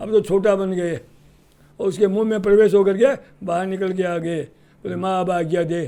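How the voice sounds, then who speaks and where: Speaking at a moderate pace, a man has a high-pitched voice with a dark, mellow tone. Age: old. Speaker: spiritual preacher and grandfather. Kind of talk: interview answer, spiritual advice.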